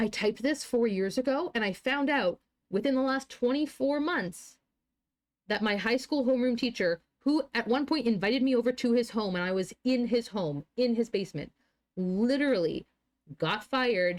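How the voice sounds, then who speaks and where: A woman with an unremarkable speaking voice and a fairly high pitch talks at a moderate pace with lively intonation and very even loudness, on a very clean recording with a silent background. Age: 20s. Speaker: streamer. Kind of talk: casual chat.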